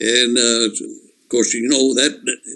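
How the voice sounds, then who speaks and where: A man talks with a Texan accent. His pace is fairly slow. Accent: Texan Southern US. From East Texas. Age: 80s+. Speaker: war veteran. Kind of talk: oral history interview. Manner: halting.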